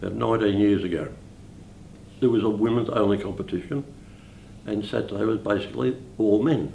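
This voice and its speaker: A man's voice in an Australian accent, with vocal fry, ordinary pitch variation, long, frequent pauses and audible room echo. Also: fairly low pitch for a man. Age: 80s+. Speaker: bowls club life member. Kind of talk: interview.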